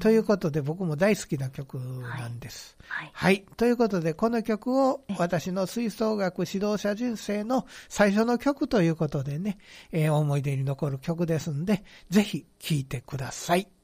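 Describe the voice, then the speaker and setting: In a Kansai accent, a man talks at a moderate pace with a high pitch and very wide pitch swings. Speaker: band director and author. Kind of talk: casual radio chat.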